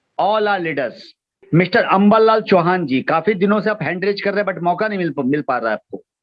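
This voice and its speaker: A man's high voice moves through ordinary pitch variation as he talks. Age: young. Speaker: business opportunity presenter. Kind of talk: motivational talk.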